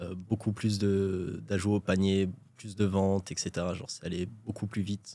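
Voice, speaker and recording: Delivered at a moderate pace, a man's fairly low voice has a dark, mellow tone. His intonation is monotone and flat. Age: 20s. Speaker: e-commerce entrepreneur. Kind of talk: interview. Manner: casual, hesitant with fillers.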